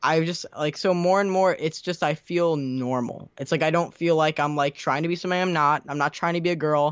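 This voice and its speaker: A man talks at a fairly quick pace in a normal speaking voice. His pitch is fairly high, and his intonation stays fairly even. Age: under 20 (18). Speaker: YouTuber. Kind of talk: casual interview.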